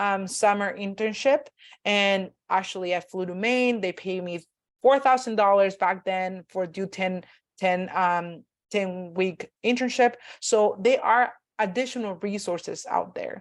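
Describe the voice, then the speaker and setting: Fairly slow speech from a woman at medium pitch with ordinary pitch variation. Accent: Spanish. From Mexico. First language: Spanish. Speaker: graduate student panel moderator. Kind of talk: online panel discussion. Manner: halting, many fillers.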